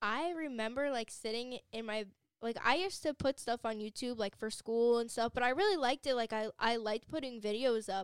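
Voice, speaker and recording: In an ordinary speaking voice, a woman talks at a fairly quick pace with fairly high pitch. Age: young. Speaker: cosmetology student. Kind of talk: casual chat.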